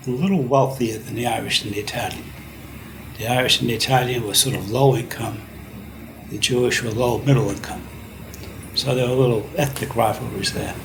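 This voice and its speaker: Speaking fairly quickly in a New York accent, a man at medium pitch with ordinary pitch variation takes long, frequent pauses amid noticeable background noise and audible room echo. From US Northeast (Brooklyn, New York City). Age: 70s. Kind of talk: interview.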